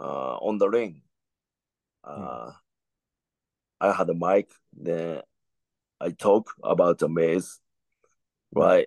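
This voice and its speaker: Speaking in a Japanese accent, a man goes at a very slow pace with long, frequent pauses and big swings in loudness, the sound dry and close with no echo. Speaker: professional wrestler. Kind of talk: casual chat. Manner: halting.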